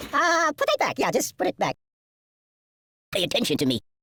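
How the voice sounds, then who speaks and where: A cartoonish character voice at a fairly quick pace. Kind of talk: cartoon comic voice acting. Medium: video game. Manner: cheeky, jokey, exaggerated.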